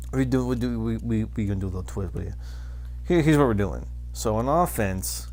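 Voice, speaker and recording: At a very fast pace, a man with a very deep, low pitch speaks with lively intonation amid audible room echo. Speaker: gaming YouTuber. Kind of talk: casual gaming commentary. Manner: halting, stuttering.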